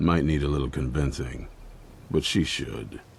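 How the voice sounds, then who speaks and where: Doing a put-on character voice, a man growls out raspy words at a very deep, low pitch and a moderate pace. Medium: video game. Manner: gruff, blunt.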